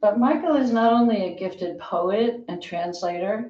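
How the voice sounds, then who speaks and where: A woman speaks very slowly in a medium-pitched, somewhat breathy voice with a dark, mellow tone. Her intonation is lively. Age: 70s. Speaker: poet, member of poetry critique group. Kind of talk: speech at a book party.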